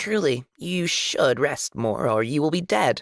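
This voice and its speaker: A man does a put-on character voice, hissing at a fairly high pitch. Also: fairly slow pace. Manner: matter-of-fact.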